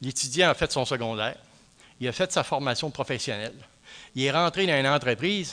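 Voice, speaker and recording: Long, frequent pauses break up a man's fairly quick speech, which has a bright, sharp tone and ordinary pitch variation. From Quebec, Centre-du-Québec. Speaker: professor. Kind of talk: lecture. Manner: hesitant, many fillers.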